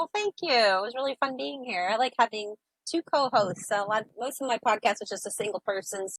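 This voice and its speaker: A woman with an American accent has an unremarkable speaking voice, fairly high in pitch. She talks at a fairly quick pace with lively intonation. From upstate New York. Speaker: sailor and author. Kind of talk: interview.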